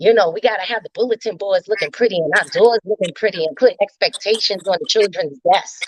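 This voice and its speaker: A woman talks at a fairly quick pace in a New York accent. Her pitch is fairly high with ordinary variation, and the sound is dry and close with no echo. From New York, Bed-Stuy. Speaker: teacher. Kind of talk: casual chat.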